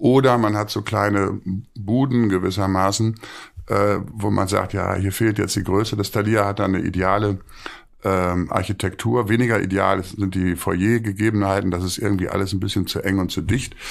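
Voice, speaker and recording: Against a quiet background, a man speaks at a moderate pace. His pitch is fairly low and his intonation fairly even. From Münster, western Germany; Germany. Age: 60s. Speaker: theatre director; podcast guest. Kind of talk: interview conversation. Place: home room.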